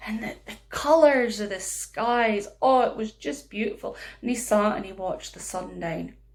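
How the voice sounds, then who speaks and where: A fairly high-pitched woman at a moderate pace, with a Scottish accent. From northeast Scotland. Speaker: storyteller. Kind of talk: children's storytelling.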